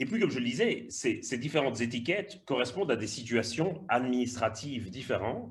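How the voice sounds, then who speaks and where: A man at medium pitch, somewhat breathy, with lively intonation and hardly any pauses. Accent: slight Belgian. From Belgium. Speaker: migration researcher and lecturer. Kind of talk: webinar talk. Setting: online webinar. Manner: hesitant, with repetitions.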